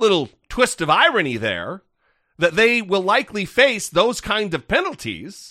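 A man projects a raised, high-pitched voice with a bright, sharp tone and very wide pitch swings. The background is quiet. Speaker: podcast host. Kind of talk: casual political commentary. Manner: animated, halting with repetitions.

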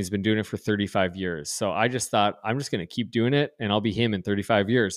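In an Upper Midwest accent, a man speaks at a fairly low pitch with fairly even intonation. The recording is very clean, with a silent background. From North Dakota. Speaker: pastor. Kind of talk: casual chat.

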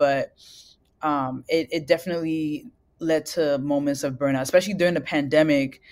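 On a very clean recording with a silent background, a woman speaks at a very deep, low pitch with fairly even intonation. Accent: New York. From US Northeast, Brooklyn, New York. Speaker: singer-songwriter. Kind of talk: interview.

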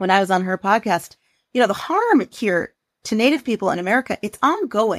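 Speaking with a Pacific Northwest accent, a woman at a fairly high pitch keeps a moderate pace and lively intonation, in a very clean, dry, close recording with a silent background and no echo. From US Pacific Northwest. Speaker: journalist and author. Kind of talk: interview conversation.

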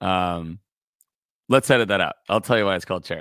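Here a man speaks with a Californian accent and ordinary pitch variation. The recording is very clean, with a silent background. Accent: Californian American English. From California, Santa Barbara. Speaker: singer-songwriter and music producer. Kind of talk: casual interview chat.

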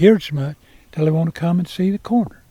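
A man with an Appalachian accent talks at a fairly high pitch. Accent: Southern US, Appalachian. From north Georgia, Fannin County. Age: 70s. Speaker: farmer. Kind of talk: casual chat. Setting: outdoors.

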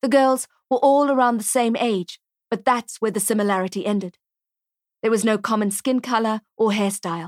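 Recorded very cleanly against a silent background, with a dry, close sound and no echo, a woman talks at a moderate pace in an ordinary speaking voice, her fairly high pitch moving with ordinary variation. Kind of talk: literary audiobook reading, crime thriller narration.

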